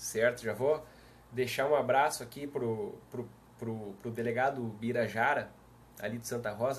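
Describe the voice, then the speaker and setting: A man's medium-pitched voice with a southern Brazilian accent, fairly even intonation and a fairly slow pace, against noticeable background noise. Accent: southern Brazilian (gaúcho). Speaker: police chief and law speaker. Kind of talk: live stream talk. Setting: live video stream. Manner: casual, friendly.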